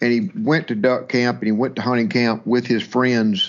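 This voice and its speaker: In a Mississippi accent, a man of medium pitch talks at a fairly quick pace with very wide pitch swings. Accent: Mississippi Southern. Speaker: waterfowl hunting business owner. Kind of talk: interview storytelling. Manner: halting with repetitions.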